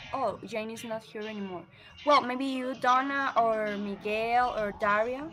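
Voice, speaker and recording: A woman with a Spanish accent speaks at a fairly high pitch with fairly even intonation. Her loudness swings widely. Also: fairly slow pace. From Colombia. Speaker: book club host. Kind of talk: casual group discussion.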